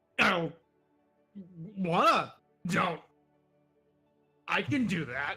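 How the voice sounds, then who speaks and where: A put-on, gruff character voice at middle pitch moves at a very slow pace with long, frequent pauses over faint music in the background. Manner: sputtering.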